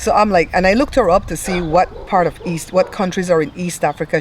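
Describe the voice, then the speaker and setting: Against noticeable background noise, a woman with an American accent speaks at a moderate pace and a medium pitch. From outside the US. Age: 50s. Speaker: tarot reader. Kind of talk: casual chat. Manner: animated.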